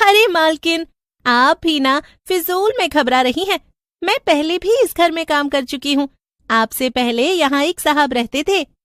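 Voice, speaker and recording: A cartoonish character voice that sounds female comes in at a high pitch and a moderate pace. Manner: deferential, calls her mistress madam.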